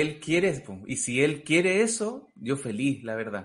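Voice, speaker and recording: A man with a Chilean accent speaks at a fairly high pitch. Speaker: comedian. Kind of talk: casual chat.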